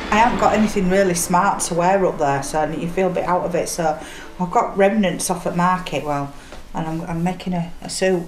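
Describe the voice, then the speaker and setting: A woman's fairly low voice with a Yorkshire accent and fairly even intonation, amid noticeable background noise and audible room echo. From Yorkshire, Leeds. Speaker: single mother. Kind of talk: documentary interview.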